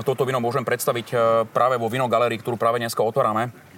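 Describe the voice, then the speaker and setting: Here a man talks at a very fast pace. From western Slovakia (Little Carpathians). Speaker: winemaker. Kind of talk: casual interview.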